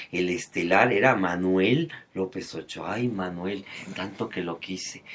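This man talks with a Mexican accent at a fairly slow pace. His pitch is fairly low, with ordinary variation. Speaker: entertainment commentator. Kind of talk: casual chat. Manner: animated.

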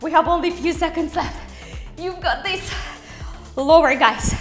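A woman speaks in an extremely high pitch at a fairly slow pace. Faint music plays in the background. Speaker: fitness instructor. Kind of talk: workout coaching cues.

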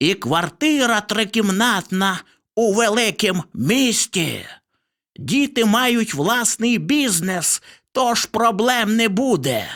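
A woman performs a put-on character voice at a very slow pace, fairly high in pitch with lively intonation. The recording is very clean, with a silent background. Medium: read story. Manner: pleased with himself.

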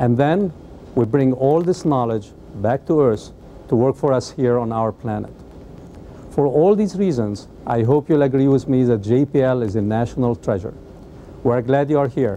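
A man talks at a moderate pace with ordinary pitch variation and long, frequent pauses, over light background noise. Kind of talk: scripted welcome address. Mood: warm, welcoming. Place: office. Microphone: lapel.

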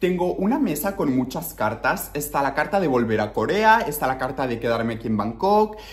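A man talks at a moderate pace with hardly any pauses. His pitch swings very widely. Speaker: vlogger. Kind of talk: casual vlog chat. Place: home room. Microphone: phone near.

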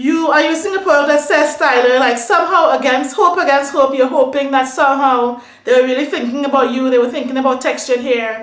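At a fairly quick pace, a woman with a high pitch speaks in an animated tone with ordinary pitch variation, audible room echo and a quiet background. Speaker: beauty and hair vlogger. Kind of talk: casual rant to camera. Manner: animated, upset. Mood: upset, indignant.

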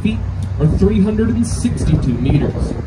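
The speech goes at a moderate pace against loud background noise. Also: man. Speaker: boat tour guide. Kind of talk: tour guide commentary. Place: boat.

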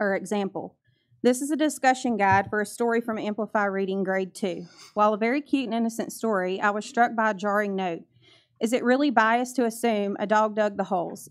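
A woman speaks fairly quickly, her pitch varying in an ordinary way, and the background stays quiet. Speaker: public commenter at board meeting. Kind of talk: public comment reading excerpts. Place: meeting room. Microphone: podium.

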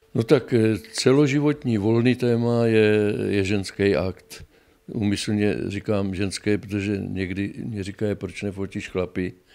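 At a fairly slow pace, a man talks in a fairly low pitch with a dark, mellow tone and ordinary pitch variation. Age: 80s+. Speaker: photographer. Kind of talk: interview; interview answer. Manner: casual, halting. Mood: content, reflective. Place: home room.

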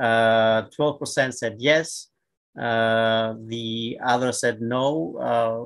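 Against a quiet background, a man talks at a very slow pace. His medium pitch stays fairly even. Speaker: surgeon, panel co-chair; panel co-chair. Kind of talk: moderated panel discussion. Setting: video call. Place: home room. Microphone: webcam.

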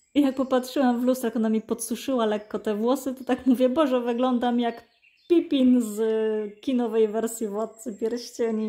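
A woman talks at a moderate pace in a high voice with fairly even intonation. The recording is very clean, with a silent background. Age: 40s. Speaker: cross-stitch vlogger. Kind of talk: casual chat. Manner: halting.

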